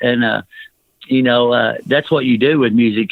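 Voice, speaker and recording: A man in a Southern US accent, medium in pitch, at a fairly quick pace. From US South. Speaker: rock singer. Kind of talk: interview. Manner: halting, filler-heavy.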